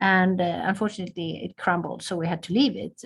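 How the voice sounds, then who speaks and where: Speaking at a very fast pace with a Swedish accent, the voice carries vocal fry. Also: woman. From southern Sweden. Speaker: ambassador. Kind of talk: interview. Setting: video call.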